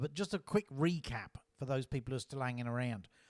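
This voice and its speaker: On a very clean recording with a silent background, a man speaks fairly quickly with an Australian accent. His fairly high voice sounds dry and close, with no echo. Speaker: author reading own novel. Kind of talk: reading aloud with commentary.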